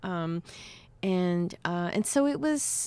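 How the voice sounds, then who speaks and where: Her pitch swings very widely. The woman has an American accent. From New York City (Cuban-born). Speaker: novelist. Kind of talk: interview. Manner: halting, many fillers.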